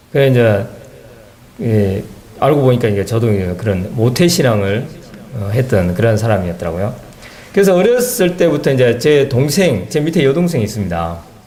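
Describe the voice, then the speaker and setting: Amid noticeable background noise and audible room echo, a medium-pitched man speaks at a moderate pace with very wide pitch swings and long, frequent pauses. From South Korea, South Jeolla (Haenam). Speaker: church member giving testimony. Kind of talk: testimony.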